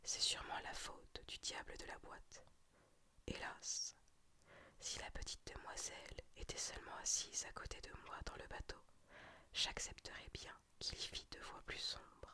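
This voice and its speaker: Someone whispers at a fairly slow pace, with long and frequent pauses. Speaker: ASMR storyteller. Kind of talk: reading aloud. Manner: whispered.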